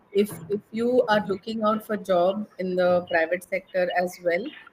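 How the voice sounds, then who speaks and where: Speaking with an Indian accent, a woman talks at a fairly slow pace. Her pitch is medium, with ordinary variation. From India, Mumbai. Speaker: English and soft skills trainer. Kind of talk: conversation practice interview.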